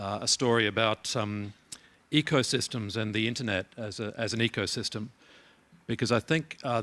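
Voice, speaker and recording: A man with an Australian accent speaks at a moderate pace and medium pitch in a bright, sharp tone. His intonation is fairly even, on a very clean recording with a silent background. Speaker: keynote speaker, internet organization head. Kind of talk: conference keynote speech. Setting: conference hall with audience. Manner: halting, many fillers and repeats.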